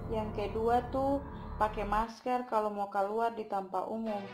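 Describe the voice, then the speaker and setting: A woman with an Ambonese accent speaks at a fairly high pitch and a moderate pace in a flat monotone, with music in the background. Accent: Ambonese Malay. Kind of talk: explainer talk to camera.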